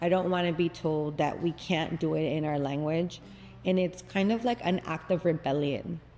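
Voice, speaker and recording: The woman talks at a moderate pace in a fairly low pitch, her tone dark and mellow and her intonation fairly even. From Bellflower, California, with early childhood in Guatemala. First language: Spanish. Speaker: Pilates instructor and studio founder. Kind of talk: casual interview. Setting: Pilates studio.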